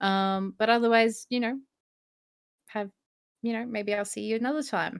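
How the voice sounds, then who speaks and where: Moderate pace with long, frequent pauses and fairly even intonation on a very clean recording with a silent background. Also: woman, fairly high pitch for a woman. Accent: Australian. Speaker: spiritual podcast co-host. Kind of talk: casual chat. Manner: hesitant, many fillers.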